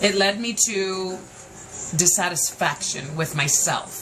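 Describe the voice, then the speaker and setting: An animated woman with an American accent talks with lively intonation over noticeable background noise. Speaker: podcast host. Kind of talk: personal monologue podcast. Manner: loud; emotional, animated.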